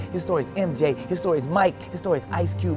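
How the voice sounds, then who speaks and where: Very fast speech with very wide pitch swings, music in the background. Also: man. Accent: American. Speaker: spoken word poet. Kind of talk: spoken word poetry performance. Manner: rhythmic, emphatic.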